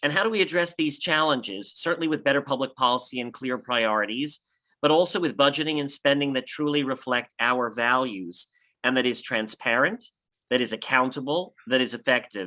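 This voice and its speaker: A man with an American accent speaks at a medium pitch. His pace is fairly quick and his tone bright and sharp. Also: ordinary pitch variation, very clean recording, silent background. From Los Angeles, US. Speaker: political candidate, city official. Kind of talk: campaign speech.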